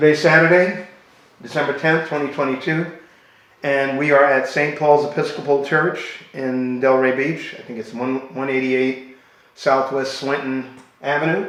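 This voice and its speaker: A man speaks in a plain, everyday voice at a moderate pace. His intonation stays fairly even. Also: fairly high pitch for a man. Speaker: interviewer. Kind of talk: interview question.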